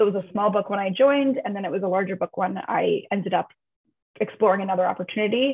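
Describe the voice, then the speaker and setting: In an American accent, a woman speaks in an ordinary speaking voice at medium pitch and a fairly quick pace. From New York, Long Island. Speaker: insurance underwriting executive. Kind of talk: interview.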